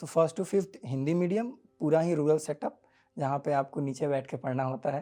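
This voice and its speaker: A man's fairly high voice comes through with music playing behind it. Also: ordinary pitch variation, moderate pace. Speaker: exam topper. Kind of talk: interview.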